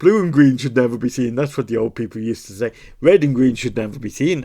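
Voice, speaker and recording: Talking at a very fast pace, a man with a Welsh accent uses a medium pitch with ordinary variation and a dark, mellow tone over a quiet background. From Wales. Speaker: puzzle-solving video creator. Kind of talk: casual commentary while solving a puzzle.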